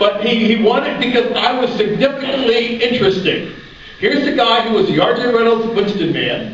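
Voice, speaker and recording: The man's voice sits extremely high in pitch with ordinary pitch variation and an animated tone, moving at a fairly quick pace with very even loudness, amid noticeable background noise and audible room echo. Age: 60s. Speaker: former tobacco advertising model turned anti-tobacco advocate. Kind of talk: panel talk. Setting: convention panel with audience.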